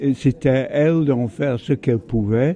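The voice moves at a fairly slow pace with a dark, mellow tone and ordinary pitch variation. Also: man, medium pitch for a man.

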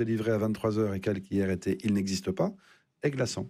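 A man's dark, mellow voice, fairly low in pitch, with ordinary pitch variation and a fairly quick pace

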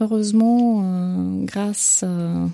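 A woman speaks very slowly at a medium pitch, with a dark, mellow tone and vocal fry. Her intonation is fairly even, and the sound is dry and close with no echo.

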